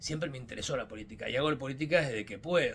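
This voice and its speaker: A man in a Mendoza accent at a fairly quick pace, with noticeable background noise. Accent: Mendoza Argentine Spanish. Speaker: politician. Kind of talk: podcast monologue. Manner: hesitant, with fillers.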